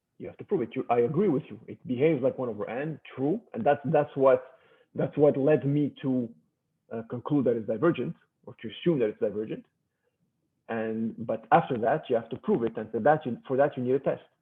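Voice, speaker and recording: Speaking at a fairly quick pace, a man with a medium pitch and ordinary pitch variation shows big swings in loudness. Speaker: math professor. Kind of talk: lecture. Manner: halting.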